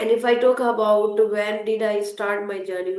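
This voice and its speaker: A woman with an Indian accent speaks at a medium pitch and moderate pace, with audible room echo and noticeable background noise. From India (Hindi-speaking). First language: Hindi. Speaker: English learner and content creator. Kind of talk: interview conversation.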